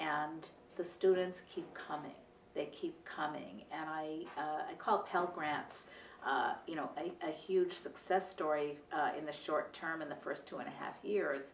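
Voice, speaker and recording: A woman's fairly low voice, fairly even in intonation, with audible room echo and light background noise. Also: fairly slow pace. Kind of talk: interview answer. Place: office.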